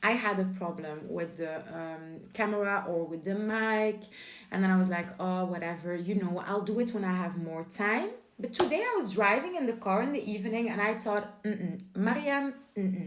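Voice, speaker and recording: In a Flemish accent, the voice moves at a moderate pace with ordinary pitch variation, amid audible room echo and noticeable background noise. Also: woman, medium pitch for a woman. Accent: Belgian Dutch-speaking accent in English. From Belgium. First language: Dutch. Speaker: lifestyle YouTuber. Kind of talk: casual vlog monologue.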